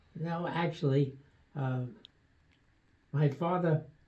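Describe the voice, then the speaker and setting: Somewhat breathy, a man in an American accent speaks with a fairly high pitch. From New York City, Brooklyn. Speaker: retired doctor. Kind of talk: interview. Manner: halting.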